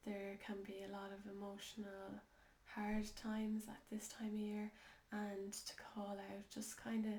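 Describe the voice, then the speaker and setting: A woman with an Irish accent talks fairly slowly at a medium pitch, her intonation monotone and flat, against noticeable background noise. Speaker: holistic life coach. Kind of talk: casual talk to camera. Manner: slow, hesitant.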